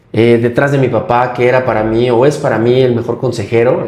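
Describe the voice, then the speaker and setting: The speaker is a man with a medium pitch and a fairly quick pace. Audible room echo surrounds his voice. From Mexico, Michoacán. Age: 30s. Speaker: politician and wheelchair user. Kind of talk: interview.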